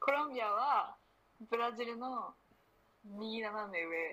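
A woman talks in a normal speaking voice, fairly high in pitch. Her pace is fairly slow and her intonation lively. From Japan, Akita. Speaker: university student. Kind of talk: casual chat.

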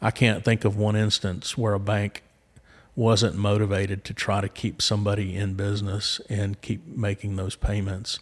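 A somewhat breathy voice speaks at a moderate pace in a Southern US accent. The intonation is monotone and flat, on a very clean recording with a silent background. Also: man, fairly low pitch for a man. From Arkansas, Little Rock. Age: 50s. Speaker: commercial banker. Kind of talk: interview. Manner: hesitant, many fillers.

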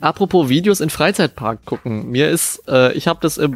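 A man with lively intonation in a dry, close sound with no echo. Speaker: music producer, podcast co-host. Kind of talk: casual chat. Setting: video call. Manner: loud.

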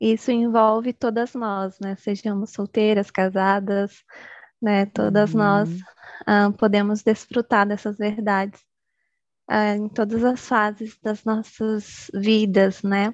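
A woman talks at a very slow pace, her medium-pitched voice flat and monotone. The sound is dry and close with no echo, over a quiet background. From Bahia, Brazil. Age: 20s. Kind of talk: casual interview.

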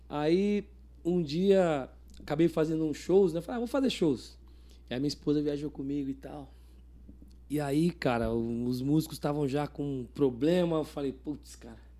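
The man's voice has a dark, mellow tone and a fairly high pitch with ordinary pitch variation. His loudness swings widely. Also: moderate pace, very clean recording, silent background. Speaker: cavaquinho teacher and musician. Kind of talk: casual interview chat. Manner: halting.

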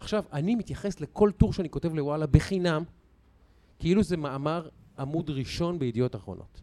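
Here a man talks in a dark, mellow tone. His pitch sits fairly high. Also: ordinary pitch variation, fairly quick pace. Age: 40s. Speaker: sports commentator and podcast host. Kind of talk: casual chat.

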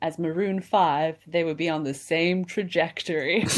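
A woman with a Canadian accent and a plain, everyday voice, fairly low in pitch, at a fairly slow pace. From Canada, Kamloops, British Columbia. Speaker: comedian. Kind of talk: casual chat.

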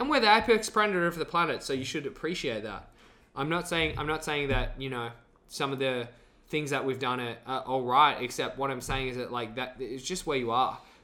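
A man speaks with an Australian accent at a fairly quick pace. His tone is bright and sharp, and his intonation is lively. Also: fairly high pitch for a man. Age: 20s. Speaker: actor. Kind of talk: casual chat.

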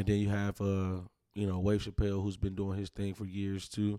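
This man has a fairly low pitch and a dark, mellow tone, speaking fairly quickly in a monotone, flat way. The sound is dry and close with no echo, on a very clean recording with a silent background. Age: 20s. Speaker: hip-hop artist. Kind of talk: casual interview chat.

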